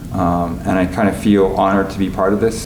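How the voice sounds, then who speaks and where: A fairly quick, monotone, flat delivery from a man with a Canadian accent and fairly low pitch, with audible room echo and noticeable background noise. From Canada, Winnipeg, Manitoba. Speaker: composer and conductor. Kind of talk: interview reflection. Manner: halting, many fillers.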